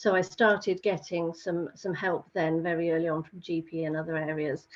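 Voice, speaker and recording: A woman's medium-pitched voice with an English accent at a moderate pace. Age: 60s. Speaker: patient. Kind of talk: testimony. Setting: video call. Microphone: poor audio with camera on.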